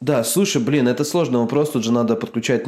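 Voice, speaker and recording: With ordinary pitch variation, a man's voice has a dark, mellow tone. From Russian Far East. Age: 30s. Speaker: entrepreneur and targeted-ads marketer. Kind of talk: casual chat. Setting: video call from home balcony. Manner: animated.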